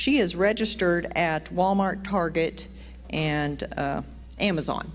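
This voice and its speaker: Light background noise sits behind a voice with vocal fry and ordinary pitch variation. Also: woman. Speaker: church announcer. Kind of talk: church announcements. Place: church. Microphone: handheld.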